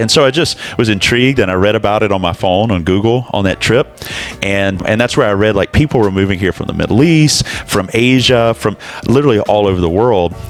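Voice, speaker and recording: Against music in the background, a man with an American accent talks fairly quickly at a fairly low pitch. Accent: Southern US, fading. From US South, Alabama. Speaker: pastor. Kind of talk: casual interview chat.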